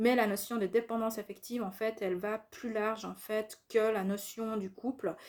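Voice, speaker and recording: A woman at a fairly high pitch and moderate pace, fairly even in intonation, on a very clean recording with a silent background. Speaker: spiritual youtuber. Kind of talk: monologue video talk. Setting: at home. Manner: hesitant fillers.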